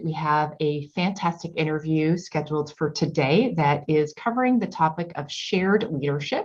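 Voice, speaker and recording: The voice is somewhat breathy, with ordinary pitch variation and hardly any pauses. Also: woman. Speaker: executive business coach, podcast host. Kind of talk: podcast intro.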